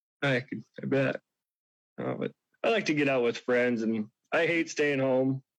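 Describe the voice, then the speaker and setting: Speaking at a fairly slow pace with long, frequent pauses, a man of medium pitch shows ordinary pitch variation. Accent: American. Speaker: bar manager, dating show contestant. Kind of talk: casual getting-to-know-you chat on radio. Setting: phone call on radio show.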